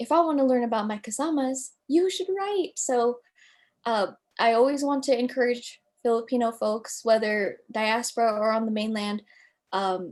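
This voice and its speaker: In a very clean recording with a silent background, a woman with an American accent speaks at a high pitch and moderate pace, her intonation lively. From United States. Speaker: writer. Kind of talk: interview.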